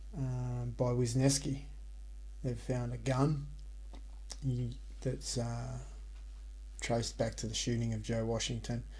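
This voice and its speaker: The man talks at a very slow pace. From Australia. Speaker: ASMR sleep story narrator. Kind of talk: casual recap to listeners. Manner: soft-spoken, whispered.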